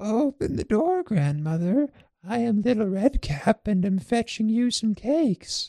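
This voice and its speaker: The speaker uses a put-on character voice at a moderate pace. The pitch sits fairly high. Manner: sly, menacing.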